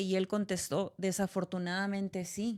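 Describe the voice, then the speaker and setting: A woman with a northern Mexican accent talks at a moderate pace and medium pitch in a very clean recording with a silent background. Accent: northern Mexican (Sonoran) Spanish. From Sonora, Mexico. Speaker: podcast host. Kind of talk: casual chat.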